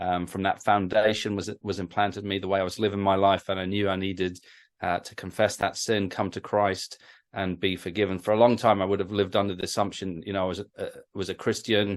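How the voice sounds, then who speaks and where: Against a quiet background, a man talks at a very fast pace with a fairly low pitch and monotone, flat intonation. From northeast England. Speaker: creationist ministry speaker. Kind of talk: interview. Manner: halting, many fillers and repeats.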